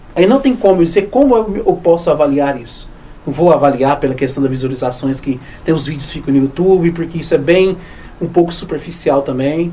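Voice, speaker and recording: A man's fairly high voice moves fairly quickly with ordinary pitch variation, while noticeable noise sounds behind him. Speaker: history teacher. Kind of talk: research interview. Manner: fast, sometimes stumbling over words.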